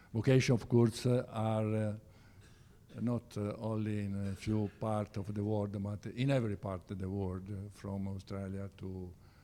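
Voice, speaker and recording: An Italian accent with a dark, mellow tone at a fairly slow pace. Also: man. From Italy, Siena. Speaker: church organization officer. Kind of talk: presentation with slides. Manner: halting, many hesitations.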